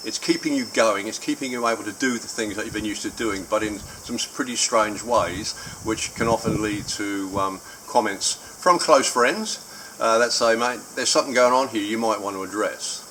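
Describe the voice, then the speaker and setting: In an Australian accent, a man speaks at a moderate pace with a medium pitch and ordinary pitch variation over noticeable background noise. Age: 70s. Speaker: vlogger sharing a personal surgery experience. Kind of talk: personal video diary. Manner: hesitant, many filler words.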